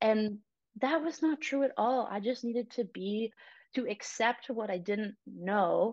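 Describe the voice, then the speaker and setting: At a fairly slow pace, a woman speaks in a fairly high voice with ordinary pitch variation. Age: 20s. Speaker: psychiatry resident doctor. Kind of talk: casual interview chat.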